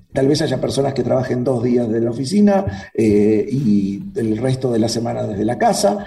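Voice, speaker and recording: A man with a medium pitch talks at a moderate pace with lively intonation. There is noticeable background noise and audible room echo. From Uruguay. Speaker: cybersecurity expert. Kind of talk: interview conversation.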